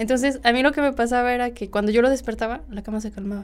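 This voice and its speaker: Speaking very fast, a woman uses a central Mexican accent. Her pitch is fairly high and her intonation fairly even. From Mexico, Cuautla, Morelos. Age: young. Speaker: podcast guest. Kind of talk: casual storytelling of personal anecdotes.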